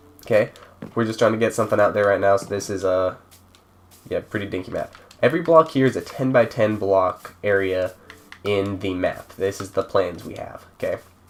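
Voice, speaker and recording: With noticeable noise behind it, the speech proceeds at a moderate pace. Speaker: gaming server creator. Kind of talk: tutorial. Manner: casual, halting.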